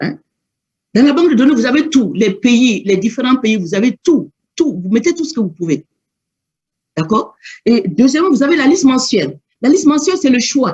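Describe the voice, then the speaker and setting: Long pauses come often, though the speaking pace itself is moderate. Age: 60s. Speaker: network marketing manager and trainer. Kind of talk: training talk. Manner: halting.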